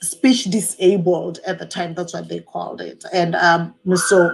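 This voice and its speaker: A woman speaks in an American accent at a fairly slow pace. Her intonation stays fairly even. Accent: foreign accent noticed by people in the US. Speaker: faith vlogger. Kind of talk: livestream testimony. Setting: Facebook live video. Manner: frequent hesitations with um.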